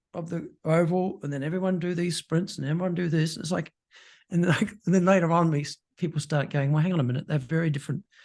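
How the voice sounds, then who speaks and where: This man's voice sits high and races along very quickly. The intonation is fairly even throughout. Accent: Australian. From Australia. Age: 60s. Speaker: podcast host, exercise physiologist. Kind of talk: interview podcast chat.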